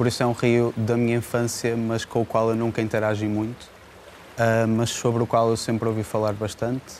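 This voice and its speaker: This is a man speaking. His pitch sits fairly low. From northern Portugal, Braga. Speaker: filmmaker. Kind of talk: interview.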